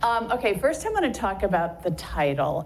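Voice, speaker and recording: Noticeable background noise and audible room echo fill the clip. Through them, a woman talks. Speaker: journalism professor and author. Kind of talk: public lecture. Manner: loud.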